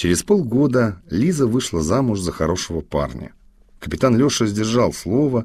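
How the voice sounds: A natural reading voice comes through here. The intonation bounces with liveliness.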